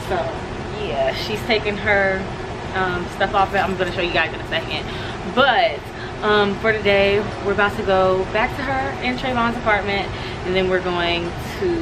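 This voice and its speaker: Over loud background noise, a woman speaks at a moderate pace with long, frequent pauses. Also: ordinary pitch variation. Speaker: vlogger. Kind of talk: casual vlog chat. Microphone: phone near.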